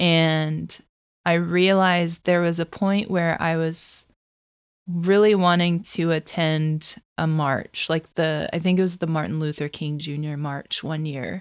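Fairly slow speech comes from a woman with a fairly low pitch and fairly even intonation, in an ordinary speaking voice. The recording is very clean, with a silent background. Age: 30s. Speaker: chronic disease advocate and blogger. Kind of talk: podcast interview.

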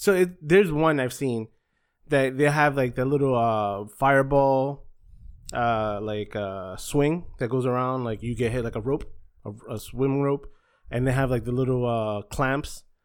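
In an ordinary speaking voice with an American accent, a man speaks at a medium pitch and a fairly slow pace with ordinary pitch variation on a very clean recording with a silent background. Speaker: podcast host. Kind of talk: casual chat.

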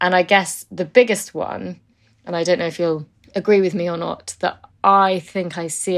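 A woman talks at a moderate pace in an unremarkable speaking voice, fairly low in pitch. Her intonation is fairly even, and the recording is very clean with a silent background. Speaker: podcast host. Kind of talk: interview conversation.

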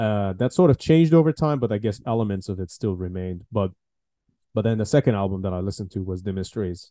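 Against a quiet background, a man talks at a very fast pace in a fairly low pitch, with ordinary pitch variation and a dark, mellow tone. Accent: Iranian. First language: Farsi. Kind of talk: casual interview conversation.

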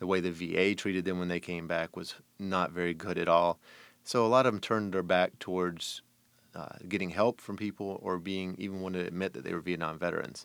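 With a very deep, low pitch and an American accent, a man talks at a fairly quick pace with fairly even intonation on a very clean recording with a silent background. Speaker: broadcast journalist. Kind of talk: interview.

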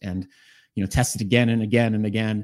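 On a very clean recording with a silent background, a man with an American accent and a plain, everyday voice speaks at a fairly low pitch with fairly even intonation. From Boston, Massachusetts. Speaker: executive coach. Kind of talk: interview.

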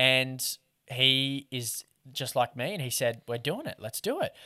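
A man speaks with an Australian accent. The sound is dry and close with no echo, on a very clean recording with a silent background. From Australia, Newcastle / Lake Macquarie NSW. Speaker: fishing content creator and podcast co-host. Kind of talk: casual interview chat.

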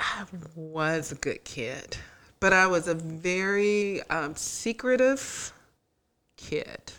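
Speaking with an American accent, a woman uses a medium pitch and lively intonation at a very slow pace with long, frequent pauses. The recording is very clean, with a silent background. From US South, Tallahassee, Florida. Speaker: podcast co-host, social worker. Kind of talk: casual chat. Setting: studio.

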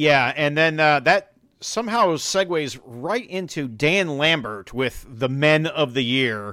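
A man with an American accent and a fairly high pitch speaks very slowly. His tone is bright and sharp, and his intonation is lively. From Chicago, US. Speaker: wrestling podcast host. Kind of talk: casual chat. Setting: remote call.

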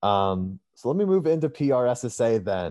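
Against a quiet background, a man speaks in a dark, mellow tone with ordinary pitch variation. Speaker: student podcast host. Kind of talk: interview.

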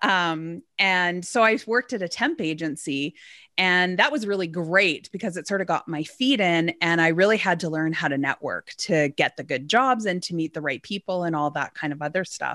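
With a Canadian accent, a woman speaks in a bright, sharp tone at a fairly low pitch, with lively intonation and hardly any pauses. The sound is dry and close with no echo, on a very clean recording with a silent background. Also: moderate pace. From Alberta, Canada. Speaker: business owner. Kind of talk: interview.

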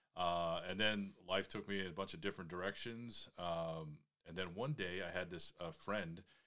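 A man with a very deep, low pitch and a bright, sharp tone speaks at a moderate pace. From Maine. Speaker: parish member, new bowhunter. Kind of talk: casual interview. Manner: hesitant, many fillers.

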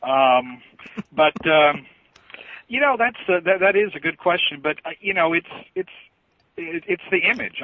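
Speaking at a fairly quick pace, a man with an American accent shows ordinary pitch variation. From southern Indiana. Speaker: podcast panelist, fan site runner. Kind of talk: casual panel chat. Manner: many fillers and hesitations.

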